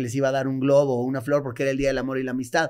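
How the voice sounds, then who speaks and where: A man speaks with a Mexican accent. The recording is very clean, with a silent background. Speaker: comedian. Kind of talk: storytelling.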